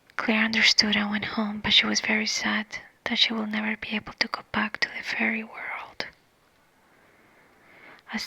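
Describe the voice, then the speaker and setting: A woman speaks at a moderate pace while background noise is noticeable. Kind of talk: ASMR story reading. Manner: soft-spoken.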